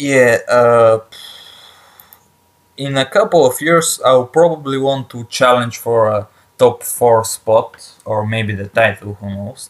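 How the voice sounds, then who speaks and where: A man with a strong non-native accent speaks at a very slow pace and medium pitch with ordinary pitch variation. His loudness swings widely. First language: not English. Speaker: gaming YouTuber. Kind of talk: let's play commentary. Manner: halting, with many fillers and repetitions.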